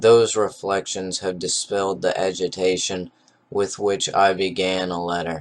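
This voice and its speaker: Fairly slow and monotone, a man talks in a very deep, low voice with flat intonation. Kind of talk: novel reading.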